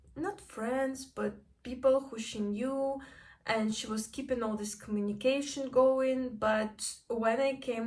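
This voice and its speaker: This woman talks at a fairly slow pace. Fairly even intonation runs through her speech. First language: not English. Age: 20s. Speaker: vlogger. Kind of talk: personal vlog. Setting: home kitchen.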